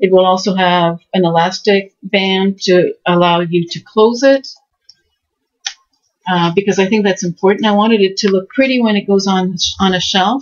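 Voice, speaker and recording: This is an unremarkable speaking voice with fairly even intonation at a moderate pace. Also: woman, medium pitch for a woman. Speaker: crafting video creator. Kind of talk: tutorial.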